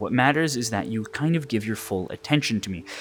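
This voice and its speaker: A man with a medium pitch talks at a fairly quick pace with lively intonation over noticeable background noise. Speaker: hypnotist. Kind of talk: hypnosis induction. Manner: lowered tone, quickening tempo; repetitive, filler-heavy.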